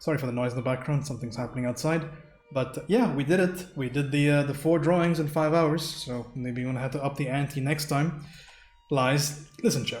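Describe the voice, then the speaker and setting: At a very fast pace, a man speaks with a fairly high pitch, with noticeable background noise and audible room echo. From India. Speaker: streamer and digital painter. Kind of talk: live stream chat.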